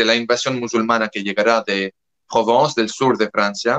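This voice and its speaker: This man's voice sits at a medium pitch with fairly even intonation and a bright, sharp tone, recorded dry and close with no echo. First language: French (speaking Spanish). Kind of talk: interview. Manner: halting, with self-corrections.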